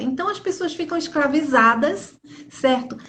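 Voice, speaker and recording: A woman's voice with audible room echo. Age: 60s. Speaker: pastor. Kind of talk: religious live stream talk. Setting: Instagram live.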